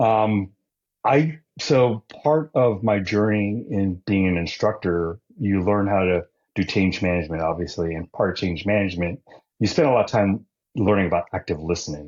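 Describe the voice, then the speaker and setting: Ordinary pitch variation in a man's fairly low voice, at a moderate pace. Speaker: lean continuous improvement instructor. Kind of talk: interview conversation. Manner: passionate, animated.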